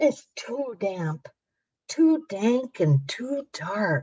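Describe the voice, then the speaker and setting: Using a squeaky, put-on character voice, a woman at a fairly high pitch speaks at a very slow pace with very wide pitch swings. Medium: read story.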